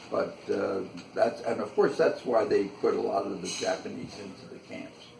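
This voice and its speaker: A man talks at a moderate pace, his loudness swinging widely. Music plays in the background, and the room echo is audible. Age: 80s+. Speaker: interviewee recalling history. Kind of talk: interview. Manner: halting.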